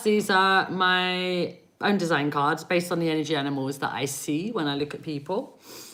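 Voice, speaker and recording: A woman at medium pitch with a bright, sharp tone, moderate pace, hardly any pauses and ordinary pitch variation, on a very clean recording with a silent background. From England. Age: 40s. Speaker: psychic reader. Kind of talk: live-stream reading. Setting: live stream. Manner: animated.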